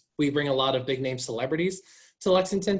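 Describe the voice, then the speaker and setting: A man with a fairly high voice speaks at a moderate pace with ordinary pitch variation. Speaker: university admissions officer. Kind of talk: informational presentation. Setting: video call. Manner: enthusiastic.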